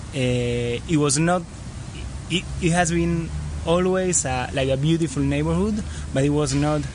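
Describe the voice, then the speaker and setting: A man with a Spanish accent at a moderate pace and medium pitch, with noticeable background noise and audible room echo. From Argentina, Buenos Aires. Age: 30s. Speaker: travel filmmaker. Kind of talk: interview. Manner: halting.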